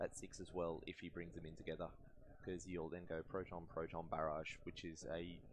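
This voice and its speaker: A man's very deep, low voice with an Australian accent, flat and monotone, at a moderate pace. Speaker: game commentator. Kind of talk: live commentary. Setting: event hall near stream table. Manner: lowered voice.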